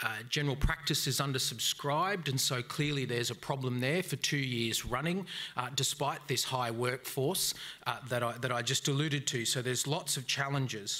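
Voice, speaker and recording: At a moderate pace, a speaker with an Australian accent holds a very even loudness, showing ordinary pitch variation and a bright, sharp tone. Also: man. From Brisbane, Australia. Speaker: debate moderator. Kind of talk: live debate moderation. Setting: stage with audience. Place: hall. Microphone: podium.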